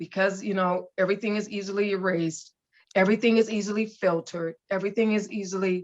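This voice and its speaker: Moving at a fairly quick pace, a woman talks with a medium pitch. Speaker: author and entrepreneur, ministry founder. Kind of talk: podcast interview. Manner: loud.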